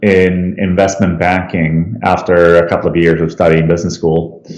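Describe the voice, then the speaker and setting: A man's voice against noticeable background noise. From Sweden, Stockholm. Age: 30s. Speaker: cancer survivor, app founder. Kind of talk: interview testimony. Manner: hesitant with fillers.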